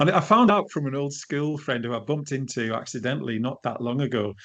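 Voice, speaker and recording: A man with a northern English accent, at a fairly quick pace and with ordinary pitch variation. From northern England, edge of Lake District. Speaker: leadership coach. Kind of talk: interview. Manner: hesitant, many false starts.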